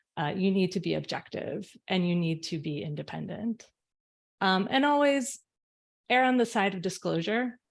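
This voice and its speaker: Over a silent background in a very clean recording, a woman speaks at a medium pitch and moderate pace with lively intonation. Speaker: arbitration panelist. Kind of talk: conference talk. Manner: loud.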